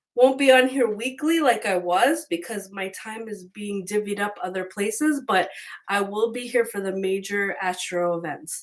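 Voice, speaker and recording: A woman speaks at a moderate pace in a plain, everyday voice, her medium pitch showing ordinary pitch variation. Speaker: tarot reader. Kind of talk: tarot reading monologue. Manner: casual.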